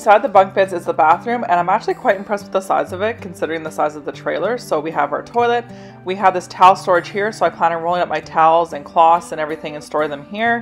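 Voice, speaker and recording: Very fast speech with hardly any pauses, big swings in loudness, and faint music in the background. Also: woman, fairly low pitch for a woman. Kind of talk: casual tour narration. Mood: pleased, upbeat. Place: home room. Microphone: phone near.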